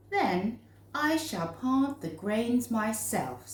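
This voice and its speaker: The speaker uses a put-on character voice. The pace is very slow. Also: woman, fairly high pitch for a woman. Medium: read story.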